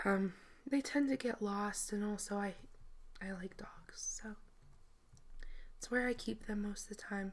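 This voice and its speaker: A somewhat breathy woman's voice with long, frequent pauses. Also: medium pitch for a woman, fairly even intonation, fairly slow pace. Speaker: Minecraft video creator. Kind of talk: game tour narration. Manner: hesitant, filler-heavy.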